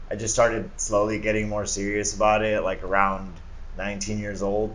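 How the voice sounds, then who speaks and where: With audible room echo around him, a man speaks in a fairly low, monotone, flat voice at a moderate pace. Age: 30s. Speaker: screen printer and entrepreneur. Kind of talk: casual interview chat.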